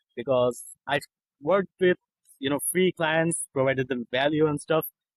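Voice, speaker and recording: A fairly high-pitched man with a non-native accent, at a moderate pace and with ordinary pitch variation. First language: not English. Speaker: copywriter. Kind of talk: interview.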